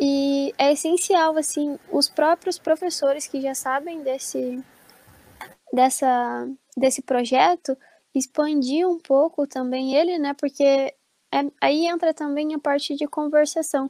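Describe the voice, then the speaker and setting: Very slowly, a woman speaks in a high voice with a dark, mellow tone and fairly even intonation, the sound dry and close with no echo. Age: 20s. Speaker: pedagogy student. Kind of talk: casual chat.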